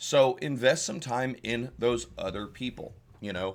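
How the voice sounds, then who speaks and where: A man with a Southern US accent is heard on a very clean recording against a silent background. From US South. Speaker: tabletop game tutorial creator. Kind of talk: tutorial. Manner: casual, with filler words.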